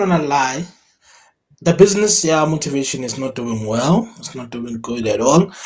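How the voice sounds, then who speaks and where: His pitch rises and falls across a very wide range. The man talks fairly slowly. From South Africa, Free State (QwaQwa). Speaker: motivational speaker and MC. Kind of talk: interview. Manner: loud.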